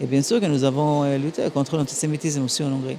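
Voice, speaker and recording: A fairly quick female voice, very deep and low in pitch. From Transylvania, Romania, raised in Israel. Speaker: ambassador. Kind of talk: interview. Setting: gala dinner. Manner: halting.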